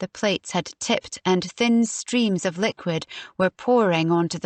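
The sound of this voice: Here is an unforced reading voice. The pitch shifts in an ordinary way.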